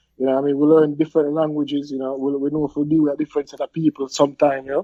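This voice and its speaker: A man in a Jamaican accent, very fast and monotone, with flat intonation. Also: fairly high pitch for a man. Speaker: podcast guest. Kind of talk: casual chat.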